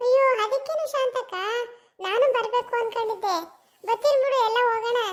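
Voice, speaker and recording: A cartoonish character voice from a woman, extremely high in pitch, with fairly even intonation at a fairly slow pace. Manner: folksy, warm.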